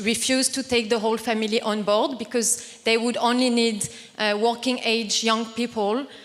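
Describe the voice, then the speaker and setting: A woman with a French accent and a fairly high pitch, at a moderate pace over noticeable background noise. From southern France, near Toulouse. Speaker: activist and panel speaker. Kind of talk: conference talk. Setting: conference panel with audience. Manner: formal.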